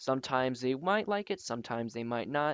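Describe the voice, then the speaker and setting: A man speaks at a fairly quick pace with lively intonation and a medium pitch. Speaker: graphic design tutorial maker. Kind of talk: tutorial. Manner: halting, filler words.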